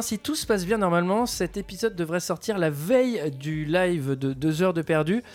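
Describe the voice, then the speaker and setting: Against noticeable background noise, a man speaks at a high pitch. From France, Paris. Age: 30s. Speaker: podcast host. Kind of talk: casual chat.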